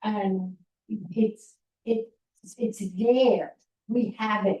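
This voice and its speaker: Speaking very slowly in a New York accent, a woman with a fairly high pitch sounds somewhat breathy, with fairly even intonation. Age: 80s+. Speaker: town hall attendee, volunteer. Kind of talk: public comment at town hall. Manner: halting, repetitive.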